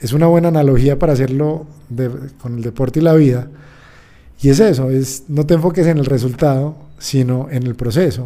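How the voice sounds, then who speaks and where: Delivered at a moderate pace with ordinary pitch variation, the voice carries a dark, mellow tone. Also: man, fairly high pitch for a man. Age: 30s. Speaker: sports psychologist. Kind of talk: interview. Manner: halting.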